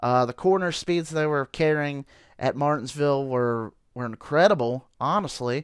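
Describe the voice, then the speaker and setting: A man with an unremarkable speaking voice talks at a moderate pace with ordinary pitch variation. The recording is very clean and silent behind him, with a dry, close sound and no echo. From Ohio. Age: 30s. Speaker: sports podcast host. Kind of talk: solo casual sports commentary. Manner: many fillers and repetitions.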